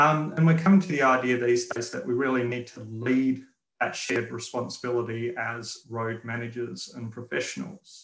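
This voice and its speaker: A man with an Australian accent talks at a medium pitch. His loudness swings widely, and the room echo is audible. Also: ordinary pitch variation, moderate pace. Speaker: road safety engineer and instructor; instructor. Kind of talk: webinar presentation. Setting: video call. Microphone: webcam.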